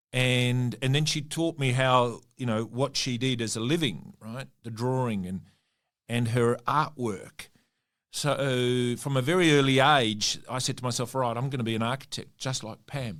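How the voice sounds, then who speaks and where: On a very clean recording with a silent background, a man with an Australian accent speaks at a moderate pace and medium pitch, with ordinary pitch variation. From Western Australia (Perth), Italian family. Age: 60s. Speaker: mining company CEO. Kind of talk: interview. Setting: studio.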